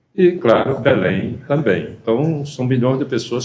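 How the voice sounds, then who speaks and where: The speech has lively intonation and audible room echo. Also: man. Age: 70s. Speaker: former politician. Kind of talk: TV interview. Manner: halting.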